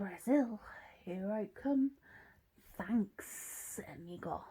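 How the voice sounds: A female-sounding voice performs a put-on character at a medium pitch and a very slow pace.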